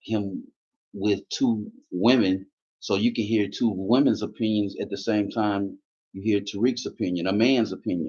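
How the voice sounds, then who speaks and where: A man is speaking. His pace is fairly slow and his intonation fairly even. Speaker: YouTube commentator. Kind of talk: live stream monologue. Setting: live stream. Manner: loud, passionate.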